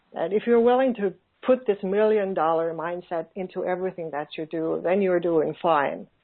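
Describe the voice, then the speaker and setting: With a Finnish accent, a woman speaks at a moderate pace and medium pitch, her pitch varying in an ordinary way. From Finland. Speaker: online business coach. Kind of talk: interview. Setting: phone call. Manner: halting.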